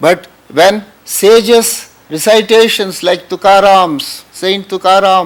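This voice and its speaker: A man with a Tamil Indian accent speaks at a high pitch. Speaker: spiritual teacher. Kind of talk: spiritual talk.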